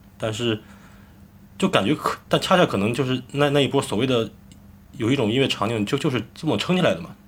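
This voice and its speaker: The speaker sounds somewhat breathy and uses lively intonation at a very fast pace, broken by long, frequent pauses. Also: man, medium pitch for a man. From Shandong, Jining. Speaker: rock band lead singer. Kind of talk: casual chat.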